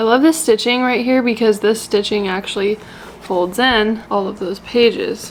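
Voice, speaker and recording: Through noticeable background noise, a woman with a fairly high voice speaks fairly slowly with fairly even intonation. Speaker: travel vlogger. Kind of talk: casual vlog talk.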